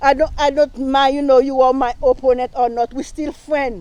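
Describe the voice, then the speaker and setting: With a strong Haitian accent, a woman talks at a moderate pace in a high pitch, with monotone, flat intonation. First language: Haitian Creole / French. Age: 60s. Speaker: local council candidate. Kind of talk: campaign speech. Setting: live stream rally. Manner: halting, many fillers.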